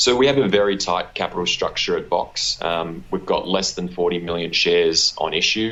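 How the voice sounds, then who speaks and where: With an Australian accent, a man talks at a moderate pace with hardly any pauses. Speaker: mining royalty company executive. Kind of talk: interview. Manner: many fillers and repetitions.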